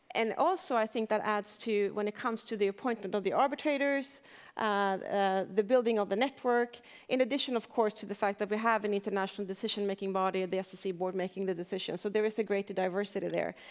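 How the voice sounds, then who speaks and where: Talking very fast with a Swedish accent, a woman keeps a medium pitch and fairly even intonation. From Sweden. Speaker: arbitration institution head. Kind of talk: panel discussion. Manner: hesitant, with repetitions.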